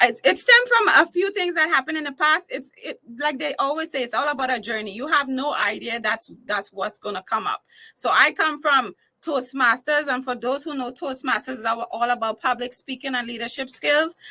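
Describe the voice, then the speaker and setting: Projecting a raised voice with a bright, sharp tone, a woman with a Trinidadian accent speaks high and fairly quickly, her intonation lively. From Trinidad and Tobago. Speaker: entertainer and talk show host. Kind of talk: casual interview.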